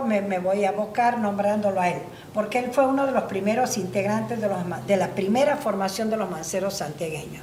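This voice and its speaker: A woman speaks at medium pitch. Noticeable background noise and audible room echo are present. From Argentina, La Banda, Santiago del Estero. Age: 60s. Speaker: folk singer. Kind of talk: interview. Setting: at her home. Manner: halting.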